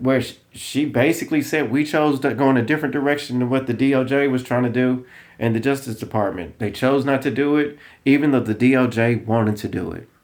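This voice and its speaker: A man speaks with a strong Southern US accent at medium pitch. His pace is fairly quick and his intonation fairly even. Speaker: political commentator. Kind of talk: casual commentary vlog.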